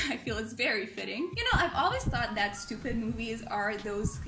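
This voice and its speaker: In an animated tone, a woman with a non-native accent speaks amid noticeable background noise and audible room echo. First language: not English. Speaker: movie review youtuber. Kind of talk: casual vlog commentary.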